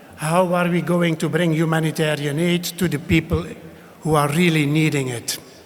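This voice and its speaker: A man with a Flemish accent talks at a moderate pace in a high voice with fairly even intonation over noticeable background noise. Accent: Belgian (Flemish) English. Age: 60s. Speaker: ambassador. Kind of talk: speech. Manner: hesitant, many filler sounds.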